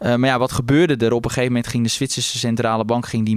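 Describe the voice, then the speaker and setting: Talking at a very fast pace, a man speaks at medium pitch. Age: 20s. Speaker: stock analyst. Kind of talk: casual chat.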